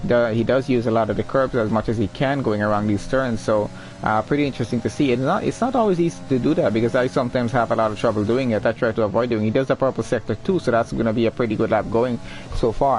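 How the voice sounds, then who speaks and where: Talking at a very fast clip, a man with a medium-pitched voice keeps his loudness very even and his pitch variation ordinary, with noticeable background noise behind him. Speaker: esports race streamer and commentator. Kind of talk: live commentary. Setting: live stream. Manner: stumbles when excited.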